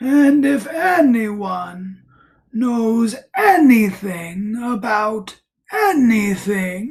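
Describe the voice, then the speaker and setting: In a put-on character voice, a female-sounding speaker with fairly high pitch talks at a very slow pace. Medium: read story. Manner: earnest, simple.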